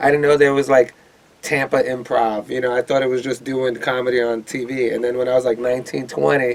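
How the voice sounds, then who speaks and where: Flat and monotone, a man speaks at a fairly quick pace in a New York accent, his pitch medium. Noticeable background noise sits behind him. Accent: New York City. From New York City, Lower East Side of Manhattan. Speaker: stand-up comedian and club owner. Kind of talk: casual interview chat. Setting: studio.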